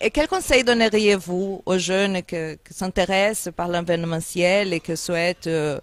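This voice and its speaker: Speaking fairly slowly with hardly any pauses, a woman at a medium pitch shows ordinary pitch variation and big swings in loudness, in a dry, close sound with no echo over noticeable background noise. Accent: slight Angolan. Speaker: interviewer. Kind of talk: interview.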